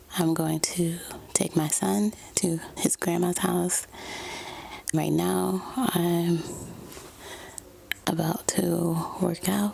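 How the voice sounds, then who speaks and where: Amid noticeable background noise, a woman with a fairly low pitch speaks at a very slow pace, with very even loudness and long, frequent pauses. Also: ordinary pitch variation. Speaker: lifestyle vlogger. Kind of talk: casual vlog narration. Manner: soft-spoken.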